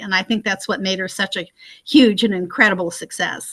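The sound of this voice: A woman's bright, sharp tone with ordinary pitch variation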